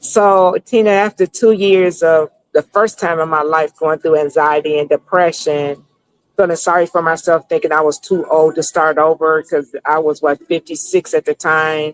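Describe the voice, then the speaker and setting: The recording is dry and close with no echo, carrying a plain, everyday voice at a moderate pace with fairly even intonation. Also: woman, fairly low pitch for a woman, very even loudness. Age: 60s. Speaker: business consultant. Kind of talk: interview.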